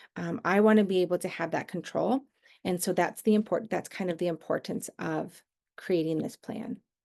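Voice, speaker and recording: A woman with an American accent at medium pitch, with vocal fry and ordinary pitch variation. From Southern California. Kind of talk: online workshop presentation. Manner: fast.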